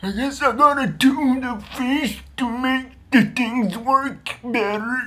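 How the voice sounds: In a put-on character voice, a man speaks very slowly in a raised, projected voice at an extremely high pitch, with fairly even intonation and hardly any pauses.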